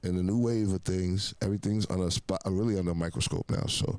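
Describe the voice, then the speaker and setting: Pacing sits in the middle range. Intonation is mostly level. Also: man. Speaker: rapper. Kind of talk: interview.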